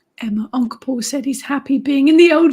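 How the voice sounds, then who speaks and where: A woman speaks in a high pitch with an English accent. Her intonation stays fairly even. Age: 50s. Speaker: witch and author, live stream host. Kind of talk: live stream chat reading comments.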